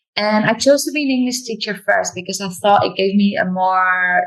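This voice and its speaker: At a moderate pace, a woman with a non-native accent talks in a somewhat breathy voice with ordinary pitch variation. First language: not English. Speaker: yoga teacher and English teacher. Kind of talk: interview.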